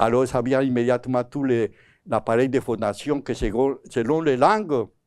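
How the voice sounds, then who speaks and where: A man with a Spanish accent, medium pitch, fairly slow pace, very clean recording with a silent background. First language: Spanish (speaking French). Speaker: psycholinguist giving a talk. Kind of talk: lecture. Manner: halting, with self-corrections.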